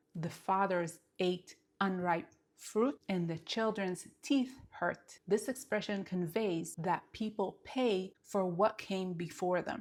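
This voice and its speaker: A woman with an Israeli accent speaks at a very slow pace in a medium-pitched voice with ordinary pitch variation. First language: Hebrew. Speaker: Hebrew teacher. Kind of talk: language lesson talk to camera.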